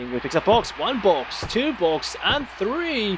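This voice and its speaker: With noticeable background noise behind him, a man in a non-native accent uses a playful tone and very wide pitch swings. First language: not English. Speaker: amateur stream host doing wrestling commentary. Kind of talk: live commentary. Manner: casual, playful play-by-play.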